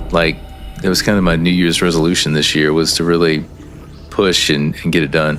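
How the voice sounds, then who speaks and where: Over noticeable background noise, a man talks at a moderate pace with a very deep, low pitch. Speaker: gaming streamer. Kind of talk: casual live-stream chat while gaming. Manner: halting, repeats words.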